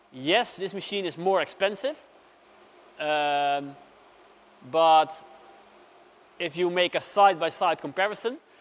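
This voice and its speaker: A man with a high pitch and ordinary pitch variation talks at a fairly slow pace. His speech has long, frequent pauses. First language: not English. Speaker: customer reviewing a machine. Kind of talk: unscripted product review. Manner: hesitant, many fillers.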